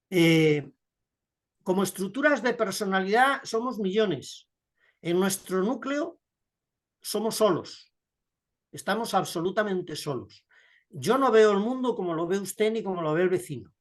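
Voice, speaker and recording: In a quiet background, a man with a high pitch speaks at a fairly slow pace. He takes long, frequent pauses. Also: lively intonation. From Spain. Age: 70s. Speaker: writer. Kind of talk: interview. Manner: reflective, measured.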